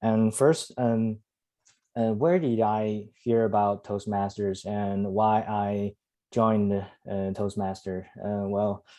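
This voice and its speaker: Here a man talks at a very slow pace with a Chinese accent. His pitch is fairly low and his intonation fairly even. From China (Henan). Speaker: club member, student. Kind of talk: prepared speech. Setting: video call. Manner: halting, many fillers.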